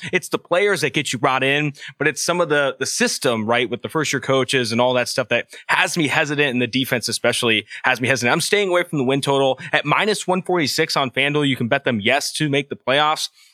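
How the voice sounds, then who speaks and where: The voice has a bright, sharp tone and an enthusiastic sound, with ordinary pitch variation. It moves at a very fast pace in a dry, close recording with no echo. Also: man, fairly high pitch for a man. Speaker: football analyst. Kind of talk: casual sports betting chat.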